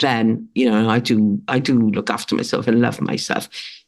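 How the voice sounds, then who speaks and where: In a Welsh accent, a woman speaks at a moderate pace with a very deep, low pitch and fairly even intonation. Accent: British (Welsh). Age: 60s. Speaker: author and writing coach. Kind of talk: interview conversation. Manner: halting, many fillers and restarts.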